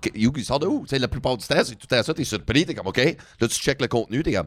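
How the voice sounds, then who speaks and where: This man has a normal speaking voice at medium pitch with lively intonation. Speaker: comedy podcast host. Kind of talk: casual chat.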